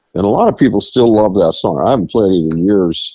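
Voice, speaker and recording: Here is a man with an American accent and a dark, mellow tone. His intonation is lively. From Rhode Island, US. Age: 70s. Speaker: singer-songwriter. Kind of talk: interview. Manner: halting.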